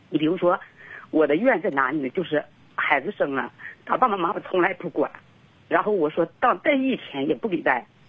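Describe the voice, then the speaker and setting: Her pitch fairly low but swinging very widely, a woman talks at a fairly quick pace broken by long, frequent pauses. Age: 30s. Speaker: caller seeking marriage advice. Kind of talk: call-in consultation. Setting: phone call. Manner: hesitant, repetitive.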